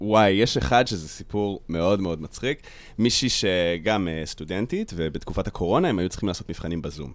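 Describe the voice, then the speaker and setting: A man speaks with a very deep, low pitch. His pace is fairly quick, and his pitch varies in an ordinary way. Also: very clean recording, silent background. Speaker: stand-up comedian and content creator. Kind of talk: casual chat. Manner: laughs a lot.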